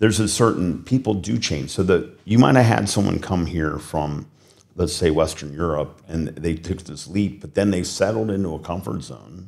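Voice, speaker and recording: With a Midwestern accent, a man talks at a moderate pace in a very deep, low pitch, with big swings in loudness. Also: ordinary pitch variation. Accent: American Midwestern. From US Midwest, Cincinnati. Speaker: business executive. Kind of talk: interview. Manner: animated.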